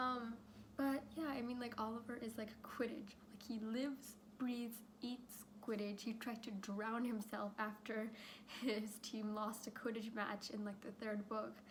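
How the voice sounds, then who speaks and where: A woman with a fairly high, shaky voice speaks in a flat monotone, with noticeable background noise and audible room echo. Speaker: youtuber. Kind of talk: casual chat. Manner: hesitant with fillers.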